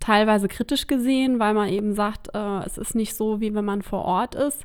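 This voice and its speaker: On a very clean recording with a silent background, a woman speaks at a moderate pace in a fairly high pitch. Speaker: local politician. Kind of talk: podcast interview.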